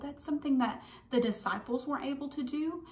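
A woman with a high voice at a moderate pace, audible room echo around her. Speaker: children's church teacher. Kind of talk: children's Bible lesson. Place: home room. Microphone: phone near.

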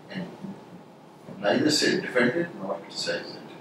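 There is audible room echo around a man's voice. Noticeable background noise is also present. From India. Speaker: interview panel member. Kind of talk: mock job interview. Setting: interview room. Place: meeting room. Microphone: camera far.

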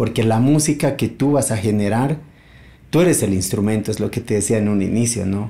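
A man speaks at a moderate pace at a medium pitch, with ordinary pitch variation. His tone is dark and mellow, and somewhat breathy. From Bolivia, partly raised in Buenos Aires. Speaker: multi-instrumentalist musician and luthier; guest. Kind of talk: casual interview. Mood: calm, reflective. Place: home room.

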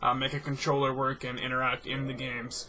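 A man with a fairly high pitch speaks at a fairly quick pace over noticeable background noise. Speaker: gaming commentator. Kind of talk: casual vlog monologue. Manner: fast talker; lighthearted, upbeat. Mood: relaxed, friendly. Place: home room.

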